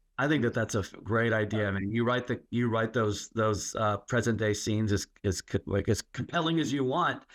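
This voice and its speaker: Speaking at a moderate pace with hardly any pauses, a man with an American accent talks over a quiet background. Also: medium pitch for a man, ordinary pitch variation, very even loudness. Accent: Texas accent, trained away. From Texas. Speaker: podcast host. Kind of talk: casual interview chat.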